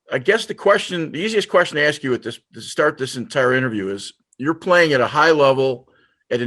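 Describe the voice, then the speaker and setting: A man with a normal speaking voice, lively intonation and a fairly quick pace, against a quiet background. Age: 60s. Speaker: interview show host and lacrosse coach. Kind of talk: interview.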